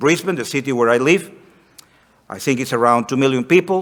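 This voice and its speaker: A man with a Spanish accent, medium in pitch, with lively intonation. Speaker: missionary. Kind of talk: missionary report to congregation.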